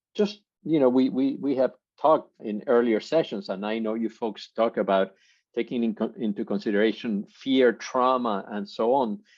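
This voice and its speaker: A man with a Mexican accent, medium in pitch, moderate in pace, with ordinary pitch variation. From Mexico. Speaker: workshop presenter. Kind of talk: conference workshop talk.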